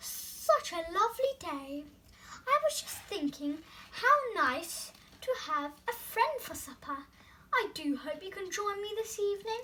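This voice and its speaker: Putting on a character voice, a woman projects loudly at an extremely high pitch, swinging very widely in pitch at a fairly slow pace. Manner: smooth, sweet-talking, deceptively friendly.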